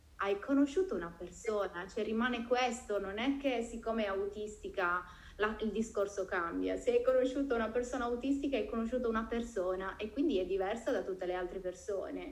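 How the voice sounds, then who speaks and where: It is a plain, everyday voice with lively intonation. The pace is fairly quick. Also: woman. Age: 40s. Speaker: podcast host. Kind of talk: casual chat.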